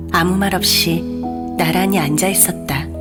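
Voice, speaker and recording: With music in the background, a woman speaks at a very slow pace. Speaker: voice actor. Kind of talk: audiobook reading.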